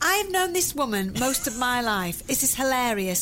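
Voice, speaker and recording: This woman's voice sits high and swings very widely in pitch. She speaks in a raised, projected way. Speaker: podcast host. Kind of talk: casual chat. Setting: home kitchen. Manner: loud.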